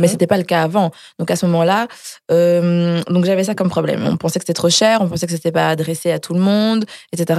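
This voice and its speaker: The voice has a dark, mellow tone. It moves at a very fast pace with fairly even intonation. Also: woman. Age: young. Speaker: makeup artist and entrepreneur. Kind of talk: casual chat.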